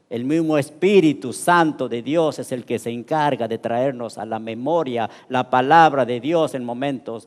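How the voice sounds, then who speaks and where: Lively intonation at a fairly slow pace. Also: man. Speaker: pastor. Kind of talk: sermon. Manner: halting.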